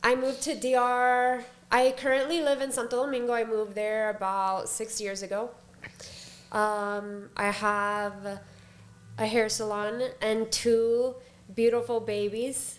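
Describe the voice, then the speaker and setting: A woman's fairly high voice in an American accent, at a fairly slow pace, with fairly even intonation and long, frequent pauses. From Florida, Palm Beach. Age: 30s. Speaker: hairstylist. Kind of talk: casual chat.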